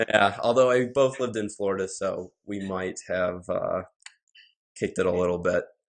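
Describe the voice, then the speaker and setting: At a moderate pace, a man with a Midwestern accent speaks over a quiet background. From US Midwest, Fond du Lac, Wisconsin. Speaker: podcast host. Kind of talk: casual podcast chat.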